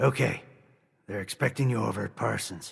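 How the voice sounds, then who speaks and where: A man puts on a raspy character voice at a medium pitch. He moves at a fairly quick pace. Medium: video game. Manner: terse, businesslike.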